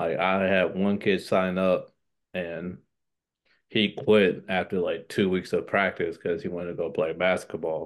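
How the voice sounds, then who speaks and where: In an American accent, a man talks at a fairly slow pace against a quiet background. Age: 20s. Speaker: middle school athletic director. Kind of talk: casual interview.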